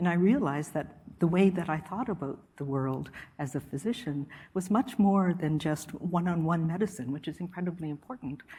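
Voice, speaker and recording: A woman speaks at a fairly quick pace with lively intonation. Her pitch sits fairly low, and her dark, mellow tone is somewhat breathy. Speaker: public health official. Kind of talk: lecture. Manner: calm.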